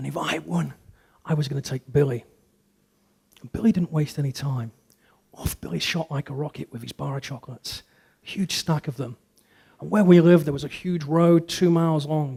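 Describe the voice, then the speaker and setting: In an English accent, a man speaks somewhat breathily with a dark, mellow tone and long, frequent pauses, the sound dry and close with no echo. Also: fairly high pitch for a man, ordinary pitch variation, big swings in loudness. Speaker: public speaker. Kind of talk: motivational talk.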